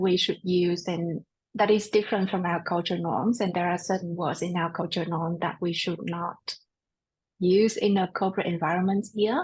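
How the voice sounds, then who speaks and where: Somewhat breathy, a woman speaks at medium pitch and a moderate pace with fairly even intonation. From Australia. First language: not English. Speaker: podcast host. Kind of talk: interview.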